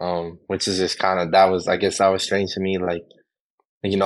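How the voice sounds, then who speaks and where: This man's pitch is very deep and low. He talks at a very fast pace. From Hawaii. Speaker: football player, draft prospect. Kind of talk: interview. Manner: casual with frequent fillers.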